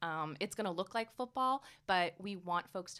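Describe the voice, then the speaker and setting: In a very clean recording with a silent background, a woman speaks with an American accent. Her pitch is fairly low and her tone bright and sharp. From New York area (Brooklyn-born, New Jersey schooling). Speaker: sports team president. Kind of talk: interview. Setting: studio.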